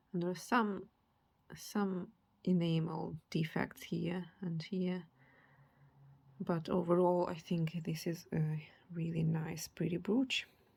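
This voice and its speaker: A woman speaks at a very slow pace with a non-native accent. Her voice is somewhat breathy and fairly low in pitch. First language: not English. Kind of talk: casual show-and-tell. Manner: halting, with fillers.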